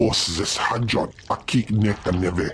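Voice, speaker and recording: Over clear background noise, a man uses a put-on character voice, fairly low in pitch and fairly slow in pace. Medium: video game. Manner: speaks unintelligible alien language.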